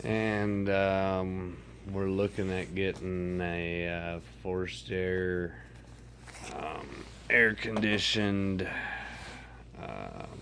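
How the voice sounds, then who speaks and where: Very slow speech from a man with a very deep, low pitch, ordinary pitch variation and long, frequent pauses, plus audible room echo. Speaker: vlogger with a medical condition. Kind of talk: casual vlog monologue. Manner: rambling, hesitant with many fillers.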